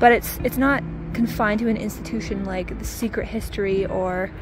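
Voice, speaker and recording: Music in the background behind a woman at a moderate pace, dry with no echo. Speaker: vlogger. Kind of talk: casual vlog chat. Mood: enthusiastic. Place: waterside. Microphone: phone near.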